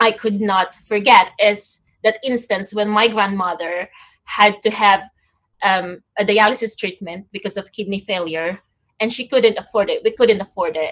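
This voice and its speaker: With a Filipino accent, a woman talks at a moderate pace in a medium pitch, her intonation fairly even. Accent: Filipino accent, non-native English. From Philippines. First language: Tagalog. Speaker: nurse and poet. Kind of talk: conversation at an online event. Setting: online event. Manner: halting, with repetitions and fillers.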